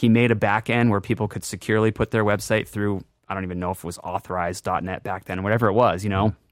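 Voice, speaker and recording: With an American accent, this man talks at a very fast pace in a fairly low, monotone, flat voice with hardly any pauses, recorded very cleanly against a silent background with a dry, close sound and no echo. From Worcester, Massachusetts, New England. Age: 30s. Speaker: drum company founder and drummer. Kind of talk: casual interview chat.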